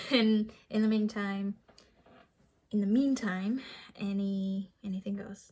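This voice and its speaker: A woman with a slight non-native accent talks at a medium pitch in a somewhat breathy voice. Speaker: vlogger and aspiring comedian. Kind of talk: casual vlog monologue.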